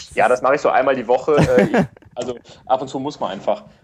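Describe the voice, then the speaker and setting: A man rattles off words very fast in a mid-range pitch. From western Germany, Rhineland (Wuppertal/Cologne area). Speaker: podcast guest. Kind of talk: casual chat. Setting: remote call via iPad. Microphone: hiss/noise on his line, no headset.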